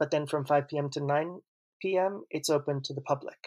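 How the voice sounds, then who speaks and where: An unremarkable speaking voice belongs to a man with an American accent and fairly high pitch. He talks at a fairly quick pace with fairly even intonation against a quiet background. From US Northeast, New York City. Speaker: author and translator. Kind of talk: interview.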